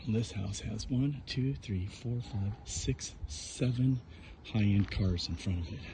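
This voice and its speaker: Quiet and somewhat breathy, a man speaks very slowly at a fairly low pitch with a dark, mellow tone. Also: lively intonation. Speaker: vlogger. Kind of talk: casual walking vlog monologue. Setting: outdoors on a walk. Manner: quiet, lowered voice.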